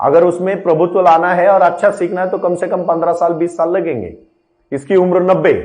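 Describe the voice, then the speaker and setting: A man with a Marathi accent speaks at a moderate pace in a high, flat monotone. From Maharashtra, Ahmednagar district. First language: Marathi (speaking Hindi). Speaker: spiritual motivational speaker. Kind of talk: spiritual discourse.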